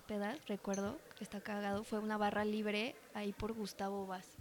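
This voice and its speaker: At a moderate pace, a woman speaks in a normal speaking voice pitched fairly high. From Mexico. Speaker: bartender and mixologist. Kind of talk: casual chat.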